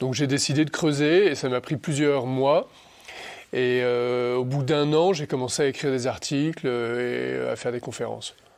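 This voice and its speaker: A man speaks at a fairly slow pace with a medium pitch and fairly even intonation on a very clean recording with a silent background. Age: 40s. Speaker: senior civil servant and Bitcoin commentator. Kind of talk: interview. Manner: hesitant, many fillers.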